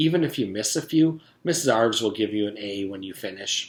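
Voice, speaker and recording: A man puts on a sing-song character voice at a fairly low pitch. His pace is fairly quick. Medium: read story. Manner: cheerful, sing-song.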